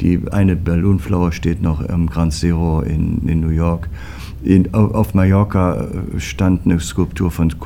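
Noticeable background noise sits behind this man. He speaks at a fairly slow pace in a very deep, low pitch. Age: 60s. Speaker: foundry managing director. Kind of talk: interview.

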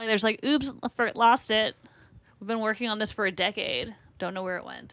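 A woman talks at a fairly quick pace with a slight Boston accent. Her fairly high voice carries vocal fry and ordinary pitch variation. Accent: Boston accent, slight, people say Canadian. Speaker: TV comedy writer. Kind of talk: casual chat.

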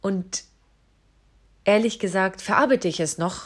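This very clean recording with a silent background features a woman at a medium pitch. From Southern Germany (Isar region, Bavaria). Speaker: podcaster. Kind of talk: personal monologue. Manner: emotional.

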